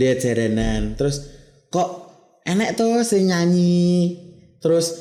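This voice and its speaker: With audible room echo, a man with a Javanese accent speaks at a very slow pace in a high pitch for a man, his tone dark and mellow and his intonation lively. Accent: Javanese-accented Indonesian. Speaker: male traditional singer (sinden). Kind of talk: casual interview.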